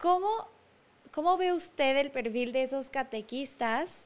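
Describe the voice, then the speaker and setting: With ordinary pitch variation, a woman talks in a high register. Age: 20s. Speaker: podcast co-host. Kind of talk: interview. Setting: live stream.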